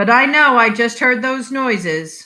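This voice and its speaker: This is a woman using a put-on character voice at a fairly high pitch. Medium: read story. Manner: on the phone.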